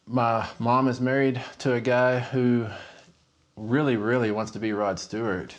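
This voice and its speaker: A man speaks with a West Texas accent. His medium-pitched voice stays monotone and flat. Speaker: horror novelist. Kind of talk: interview storytelling; scripted narration.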